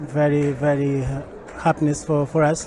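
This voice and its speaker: A man's voice sits at a fairly high pitch. Behind him is noticeable background noise. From Portugal. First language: Portuguese. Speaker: church event attendee. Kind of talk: testimony. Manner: halting.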